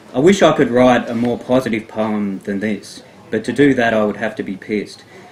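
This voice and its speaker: Using an ordinary speaking voice, a man of medium pitch talks at a fairly quick pace with ordinary pitch variation. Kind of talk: poetry reading.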